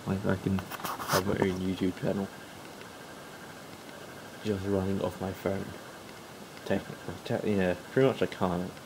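Long, frequent pauses break up speech delivered at a moderate pace over noticeable background noise. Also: man. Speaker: mobile gaming YouTuber. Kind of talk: casual vlog talk to camera.

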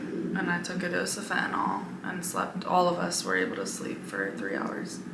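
A woman's voice at a moderate pace over loud background noise. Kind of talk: casual vlog chat.

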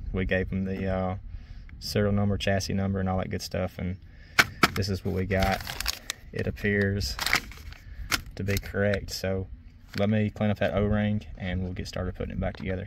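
Loud background noise sits under a dry recording with no echo. The speech moves at a moderate pace, broken by long, frequent pauses. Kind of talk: tutorial. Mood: relaxed, helpful. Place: farm machine. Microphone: phone near.

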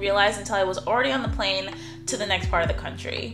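Clear music plays in the background as a woman speaks with an American accent. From New York. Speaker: travel vlogger. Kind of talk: casual talk to camera. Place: home room.

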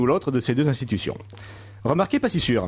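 Against a quiet background, a man with a fairly high voice talks at a fairly quick pace, his pitch swinging very widely. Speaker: radio columnist. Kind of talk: comedic column. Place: studio.

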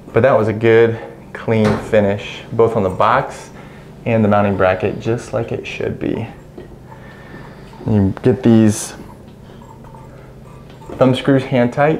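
Speech comes at a slow pace with long, frequent pauses, a slightly mellow tone, fairly even intonation and audible room echo. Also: man, fairly low pitch for a man.

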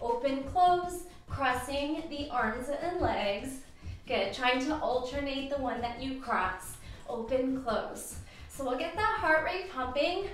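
A woman's high voice with lively intonation at a fairly slow pace, with audible room echo and light background noise. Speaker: fitness instructor. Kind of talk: workout class instruction. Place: home room. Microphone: camera far.

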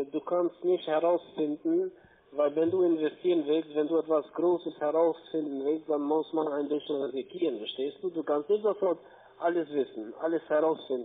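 A man with a fairly high pitch and fairly even intonation, at a moderate pace. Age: 40s. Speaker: scam call center agent. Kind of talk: sales pitch. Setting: phone call. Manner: soft-spoken. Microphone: phone line.

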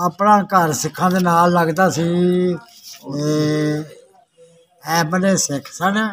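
With a high pitch, a man speaks in fairly even intonation. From Dhariwal village, Ajnala, Amritsar district, Punjab. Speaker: partition survivor. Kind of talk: interview answer. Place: street. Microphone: phone near.

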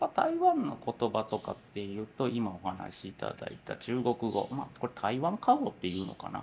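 Over light background noise, the speaker keeps a moderate pace. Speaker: lab head, researcher. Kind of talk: casual conversation.

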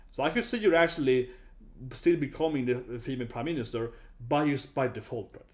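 In a Swedish accent, a man speaks fairly quickly with lively intonation and big swings in loudness over a quiet background. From Sweden. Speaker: YouTuber, user researcher; YouTuber. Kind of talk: casual video commentary. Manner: halting, many fillers. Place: home room. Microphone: webcam.

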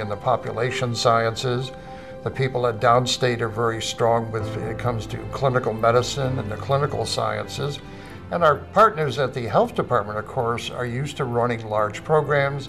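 Over clear music in the background, a man talks at a moderate pace with ordinary pitch variation. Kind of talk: interview answer. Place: office.

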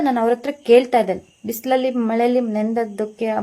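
A woman talks in a high pitch. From coastal Karnataka, Udupi. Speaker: film actress. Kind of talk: statement to news media. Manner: animated.

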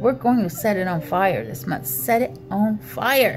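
Over clear music in the background, a woman speaks at a very slow pace with a fairly low pitch. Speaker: spiritual reader. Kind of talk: motivational monologue. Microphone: phone near.

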